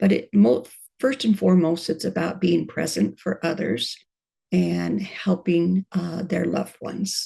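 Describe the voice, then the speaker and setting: A woman speaks at a fairly slow pace in a fairly low, dark and mellow voice, with lively intonation and vocal fry. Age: 70s. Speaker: end-of-life doula. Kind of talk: interview.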